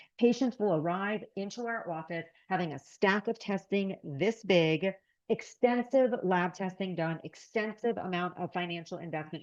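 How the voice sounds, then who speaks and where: A woman uses a normal speaking voice at a medium pitch with ordinary pitch variation, and the background is quiet. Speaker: naturopathic physician. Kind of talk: lecture.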